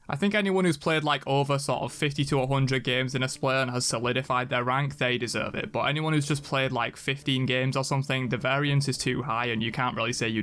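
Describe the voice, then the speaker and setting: A voice with an American accent speaks at a very fast pace with ordinary pitch variation. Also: man. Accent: often mistaken for American. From England. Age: 20s. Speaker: gaming youtuber. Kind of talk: casual Q&A reading viewer questions. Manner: casual, conversational.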